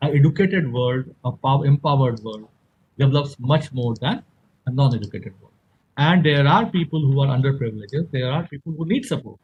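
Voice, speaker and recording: At a fairly quick pace, a man talks with a fairly high pitch and a somewhat breathy voice. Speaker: engineer and event organizer. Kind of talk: conference presentation. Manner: fast.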